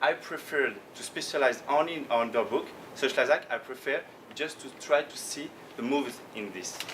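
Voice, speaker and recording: Speech with a French accent and ordinary pitch variation, with big swings in loudness. Room echo is audible, and background noise is noticeable. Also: man, fairly high pitch for a man. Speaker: professional trader. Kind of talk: conference talk. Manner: slow; halting.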